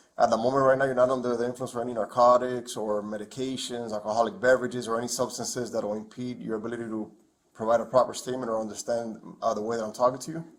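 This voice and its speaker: The pace is very fast. The intonation is fairly even. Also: man, medium pitch for a man. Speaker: police detective. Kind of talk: police interview. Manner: halting, repeats words.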